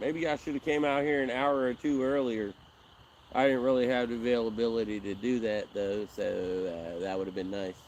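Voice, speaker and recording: A man uses an ordinary speaking voice with ordinary pitch variation. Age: 40s. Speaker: fishing livestreamer. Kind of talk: casual live stream chat. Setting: outdoors by a river.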